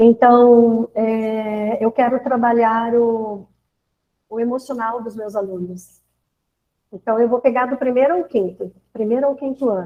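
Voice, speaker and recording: The woman's intonation is fairly even. She talks at a fairly slow pace. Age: 60s. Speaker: teacher. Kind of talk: online teacher training talk. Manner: hesitant, with fillers.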